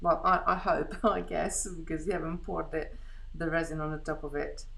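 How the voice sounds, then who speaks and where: A woman's fairly quick speech with audible room echo. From Hungary. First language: Hungarian. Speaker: beading craft host. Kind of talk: live craft tutorial chat. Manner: halting, many restarts.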